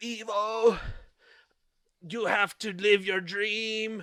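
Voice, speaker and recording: In a put-on character voice, a man speaks very slowly in a monotone at a high pitch. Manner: encouraging.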